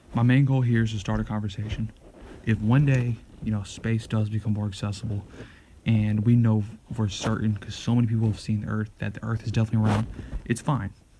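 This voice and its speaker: Here a man talks very fast at a fairly low pitch. His voice is somewhat breathy, with a dark, mellow tone. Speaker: show host. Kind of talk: monologue. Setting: at home. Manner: halting; soft-spoken.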